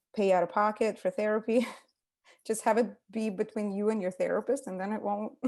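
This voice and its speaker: With a Russian accent, a woman talks fairly quickly at a fairly high pitch. Her intonation stays monotone and flat. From Ukraine, Russian-speaking part. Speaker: psychotherapist. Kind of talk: casual interview.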